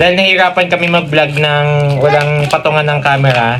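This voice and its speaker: Fairly high-pitched man amid noticeable background noise. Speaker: comedy vlogger. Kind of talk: comedic vlog, unboxing.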